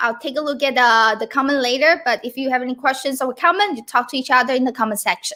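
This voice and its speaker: Raised and projected, a woman's high-pitched voice carries a bright, sharp tone and a Chinese accent. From Taiwan. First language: Mandarin Chinese. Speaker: Mandarin teacher. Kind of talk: livestream lesson. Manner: casual, conversational.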